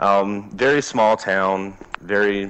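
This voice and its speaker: With a Southern accent, a man speaks at a fairly low pitch with fairly even intonation. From US South, southeast Alabama. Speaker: country singer. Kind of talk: interview.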